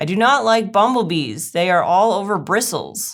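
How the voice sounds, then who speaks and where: A woman's put-on character voice, medium in pitch and moderate in pace, on a very clean recording with a silent background. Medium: read story. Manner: slow, smiling, repetitive.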